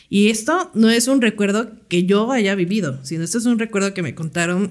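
Moderate pace and ordinary pitch variation from a woman. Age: 30s. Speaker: podcast co-host. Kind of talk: casual chat.

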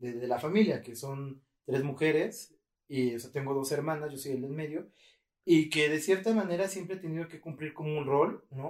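Loudness swings widely as a man with a Mexican accent talks at a moderate pace, his pitch fairly high with ordinary variation. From Mexico. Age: 30s. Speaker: podcast host. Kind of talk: casual chat.

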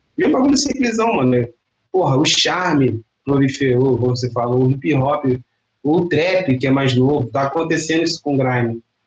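Long, frequent pauses break up a man's somewhat breathy speech. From Duque de Caxias, Baixada Fluminense, Rio de Janeiro. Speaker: MC and musician. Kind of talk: casual interview chat. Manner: slangy, relaxed street speech.

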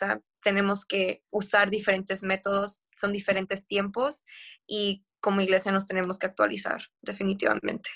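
This woman speaks at a moderate pace and medium pitch, her flat, monotone delivery captured in a dry, close sound with no echo. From northern Mexico, Tijuana. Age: 20s. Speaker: theology student. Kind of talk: casual chat.

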